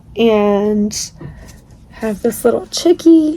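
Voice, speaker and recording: Lively intonation from a woman over noticeable background noise. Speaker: crochet crafter and small seller. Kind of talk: casual video walkthrough. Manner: casual, filler-heavy.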